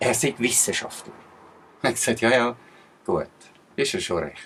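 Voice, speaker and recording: A man talks with a Swiss accent. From Switzerland. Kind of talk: casual talk to camera.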